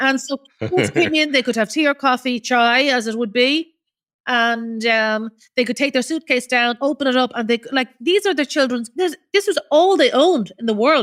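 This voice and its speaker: A woman talks in a high voice with an Irish accent. The sound is dry and close, with no echo. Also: lively intonation, moderate pace, very clean recording, silent background. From Ireland. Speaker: charity founder. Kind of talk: interview answer.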